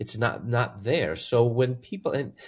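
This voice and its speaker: With an American accent, a man talks at a moderate pace in a medium pitch, his voice showing vocal fry. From US Midwest (Chicago). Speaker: Bible professor. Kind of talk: interview testimony.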